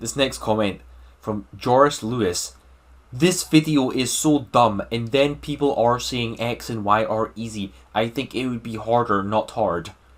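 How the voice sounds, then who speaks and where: Speaking with a Scottish accent at a fairly slow pace, a man uses a medium pitch and ordinary pitch variation on a very clean recording with a silent background. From Scotland. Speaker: gaming YouTuber. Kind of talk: casual Q&A monologue. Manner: animated.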